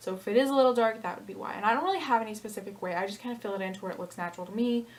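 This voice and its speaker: A woman's fairly high voice at a very fast pace, with ordinary pitch variation, big swings in loudness and noticeable background noise. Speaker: beauty vlogger. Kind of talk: makeup tutorial. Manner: casual, filler-heavy.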